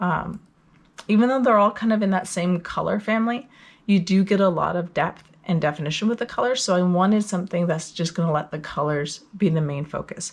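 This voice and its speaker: A woman speaks at a fairly quick pace in a somewhat breathy, medium-pitched voice with ordinary pitch variation. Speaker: knitting podcaster. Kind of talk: casual talk to camera.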